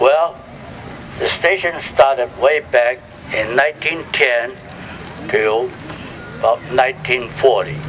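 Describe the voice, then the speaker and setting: A man's fairly high voice at a very slow pace, with long, frequent pauses, ordinary pitch variation and noticeable background noise. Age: 80s+. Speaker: former immigration detainee. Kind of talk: personal testimony talk to audience.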